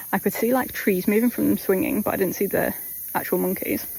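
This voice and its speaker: A woman's fairly high voice with an English accent, at a fairly quick pace, with ordinary pitch variation. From England. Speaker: travel vlogger. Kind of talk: casual vlog narration. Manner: animated.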